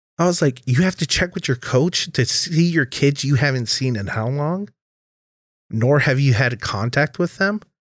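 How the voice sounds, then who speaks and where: A man with a plain, everyday voice talks at a moderate pace, fairly high in pitch with lively intonation. The recording is very clean, with a silent background. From Minnesota. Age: 20s. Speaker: bartender and bouncer. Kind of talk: casual chat.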